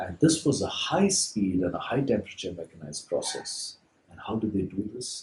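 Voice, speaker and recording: At a moderate pace, a man is speaking. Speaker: baker. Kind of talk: lecture.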